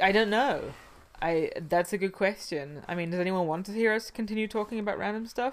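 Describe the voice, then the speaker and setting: Her pitch is medium with ordinary variation. The woman talks at a fairly quick pace. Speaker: podcast co-host, out-of-work entertainer. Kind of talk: casual chat. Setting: studio. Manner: loud.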